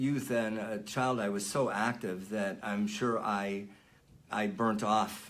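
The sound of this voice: Against audible room echo, a man speaks at a slow pace in a fairly bright tone.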